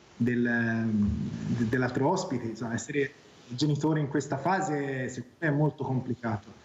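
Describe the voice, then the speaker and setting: A man at a moderate pace, ordinary pitch variation, noticeable background noise behind him. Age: 40s. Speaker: academic guest on talk show. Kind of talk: tv talk show discussion.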